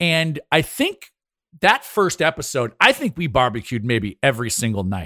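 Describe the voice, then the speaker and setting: A man's animated, bright and sharp voice at a fairly high pitch with very wide pitch swings, in a very clean, dry, close recording with a silent background and no echo. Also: moderate pace. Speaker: podcast host and former TV show host. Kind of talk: casual chat.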